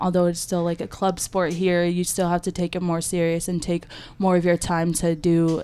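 A woman's fairly low, dark and mellow voice with an American accent, monotone and flat, at a fairly quick pace, on a very clean recording with a silent background. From Michigan. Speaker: college rugby player. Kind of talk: casual interview. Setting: small podcast room in a library.

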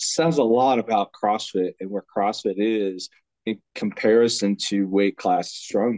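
At a fairly slow pace, a man with a normal speaking voice and fairly low pitch talks with ordinary pitch variation in a dry, close sound with no echo. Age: 40s. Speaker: strongman athlete and podcast co-host. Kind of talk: casual chat.

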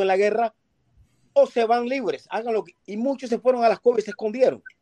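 A man with a high pitch speaks at a fairly quick pace, the sound dry and close with no echo. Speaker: caller on live stream. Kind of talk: heated debate. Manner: insistent, repetitive.

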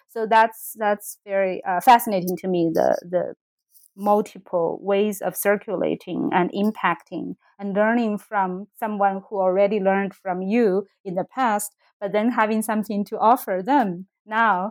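With a Chinese accent, a woman speaks fairly slowly and with fairly even intonation, in a very clean recording with a silent background and a dry, close sound with no echo. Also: medium pitch for a woman. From China, Sichuan. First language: Mandarin Chinese. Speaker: literature professor. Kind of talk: academic interview.

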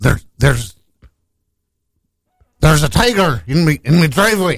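A man puts on a character voice in a Scottish accent, his pitch fairly high. He speaks at a very slow pace. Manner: comedic, imitating a caller.

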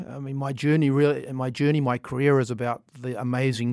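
A man's fairly even intonation on a very clean recording with a silent background. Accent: New Zealand. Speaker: tech executive. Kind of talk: interview. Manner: halting, many fillers.

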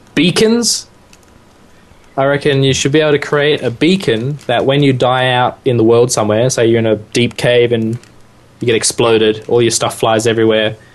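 An Australian-accented man at medium pitch and a moderate pace, with fairly even intonation and very even loudness. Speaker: podcast co-host. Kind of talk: casual chat.

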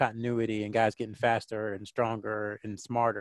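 A man with a Southern US accent is heard in a dry, close recording with no echo against a quiet background. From North Carolina, near Fort Bragg. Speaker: sports writer and communications consultant. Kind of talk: casual interview.

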